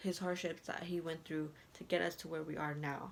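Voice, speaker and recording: At a moderate pace, a woman speaks with a non-native accent. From moved to US at age six. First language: not English. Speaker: student speaker. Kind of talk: impromptu speech. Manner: halting.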